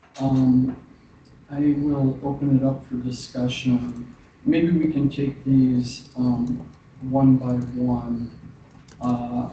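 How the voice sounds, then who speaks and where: A man is speaking. His voice is quiet. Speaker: commission chair. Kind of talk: meeting chairing. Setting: government commission meeting.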